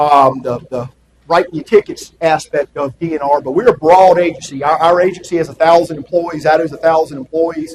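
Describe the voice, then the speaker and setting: A man with a strong Southern US accent, fairly high pitch, fairly quick pace and fairly even intonation. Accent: Southern US, kept strong. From US South, South Carolina (rural Sumter County). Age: 40s. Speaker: attorney for a state wildlife agency. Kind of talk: presentation talk to an audience. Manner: loud; casual, with many fillers.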